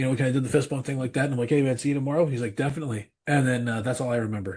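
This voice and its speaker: A man with a somewhat breathy, medium-pitched voice talks at a very fast pace with fairly even intonation. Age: 40s. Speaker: pastor and metal musician. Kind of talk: casual chat. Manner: halting, many repeats and fillers.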